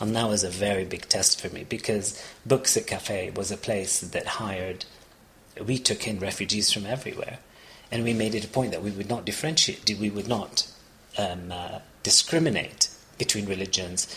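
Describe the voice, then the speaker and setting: A man with a fairly low pitch talks at a moderate pace amid noticeable background noise. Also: ordinary pitch variation. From Palestinian, raised partly in Kuwait. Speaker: refugee and former cafe owner. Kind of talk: interview. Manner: halting, with frequent false starts.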